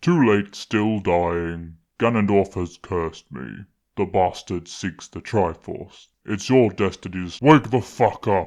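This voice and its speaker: Against a quiet background, a man does a put-on character voice at a fairly low pitch and a fairly slow pace. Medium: machinima. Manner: deadpan.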